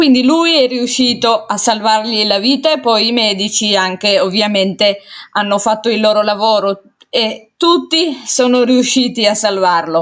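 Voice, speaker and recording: This woman speaks in an Italian accent at a fairly slow pace, her pitch fairly high. Her loudness stays very even, with ordinary pitch variation. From Italy. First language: Italian (speaking Spanish). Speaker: amateur podcast host. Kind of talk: casual monologue. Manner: hesitant with repetitions.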